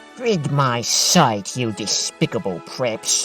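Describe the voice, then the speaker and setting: A man in a put-on character voice at a medium pitch, talking at a very slow pace over clear background music. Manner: whiny, scheming.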